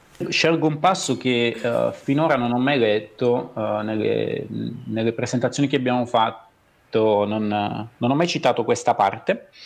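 Talking at a fairly slow pace, a man uses a medium pitch with ordinary pitch variation. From southern Italy, Basilicata. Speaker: writer and schoolteacher. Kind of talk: interview. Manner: halting, many repeated words.

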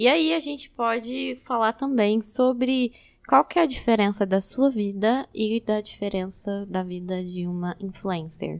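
A woman's ordinary speaking voice, medium in pitch, at a fairly slow pace with lively intonation. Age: 20s. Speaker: photographer and psychology student. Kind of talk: casual chat.

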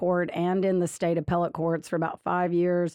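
In a Louisiana accent, a voice moves at a moderate pace with a quiet background and a dry, close sound with no echo. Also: woman. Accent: Louisiana Southern. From Louisiana, Lafayette. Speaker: state solicitor general and political candidate. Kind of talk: interview.

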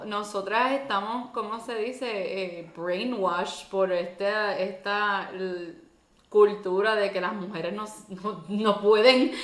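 Speaking at a very slow pace, a woman in a Puerto Rican accent has a medium pitch with ordinary pitch variation and big swings in loudness. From Puerto Rico. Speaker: podcast co-host. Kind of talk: casual chat.

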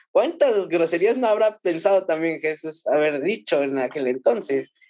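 Against a quiet background, a man speaks at a fairly slow pace in a high pitch. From Mexico City. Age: 30s. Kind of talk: casual chat.

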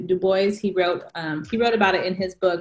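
A woman with an American accent talks in a plain, everyday voice at a moderate pace, with medium pitch and ordinary pitch variation. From California. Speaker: author, educator and poet. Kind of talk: casual chat.

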